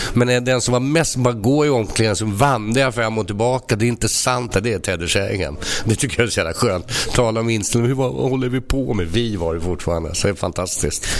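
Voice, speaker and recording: A man speaks at a very fast pace with hardly any pauses, against noticeable background noise. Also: medium pitch for a man, ordinary pitch variation. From Sweden, Stockholm. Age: 60s. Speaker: football club veteran. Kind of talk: casual chat. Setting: restaurant.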